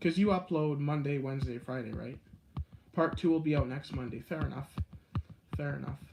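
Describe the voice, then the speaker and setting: Against noticeable background noise, a man with a fairly high pitch and ordinary pitch variation talks at a fairly quick pace broken by long, frequent pauses. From Canada, Guelph, Ontario. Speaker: live streamer, video creator. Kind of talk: live stream chat with viewers. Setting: indoors, live stream. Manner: fast.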